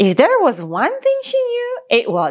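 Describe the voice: A woman talks at a fairly slow pace with a high pitch. Her pitch swings very widely.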